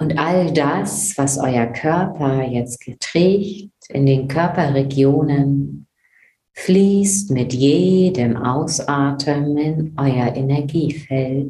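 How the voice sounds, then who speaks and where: The voice is dark, mellow, and somewhat breathy. It moves at a very slow pace in a calm, soothing tone. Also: woman, very deep, low pitch for a woman, ordinary pitch variation. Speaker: meditation guide podcast host. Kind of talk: guided meditation. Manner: slow, calm, soothing; gentle, dreamy, with long pauses.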